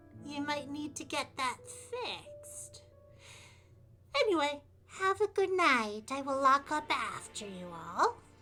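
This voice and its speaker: Using a put-on character voice, a woman speaks high and strained at a fairly slow pace, with long, frequent pauses. Her pitch swings very wide and her loudness swings widely too. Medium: actual play. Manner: folksy, calls people dearie.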